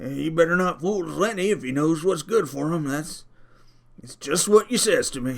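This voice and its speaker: Putting on a raspy character voice, a man speaks in a high pitch at a moderate pace with big swings in loudness. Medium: read story.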